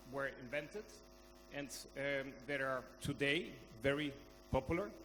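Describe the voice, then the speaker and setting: This man has a Spanish accent and a fairly high pitch. His tone is bright and sharp. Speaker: conference speaker. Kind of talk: conference talk. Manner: halting.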